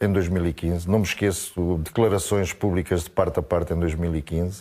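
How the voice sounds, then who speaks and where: The tone is dark and mellow. The speech moves at a fairly quick pace. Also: man. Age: 60s. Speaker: football pundit. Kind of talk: heated debate. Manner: animated.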